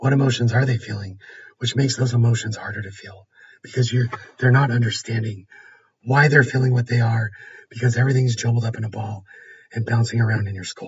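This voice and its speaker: A man speaks very fast at medium pitch, somewhat breathy and monotone, with flat intonation. His loudness swings widely, and he leaves long, frequent pauses. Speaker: host's husband with ADHD. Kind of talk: casual conversational podcast.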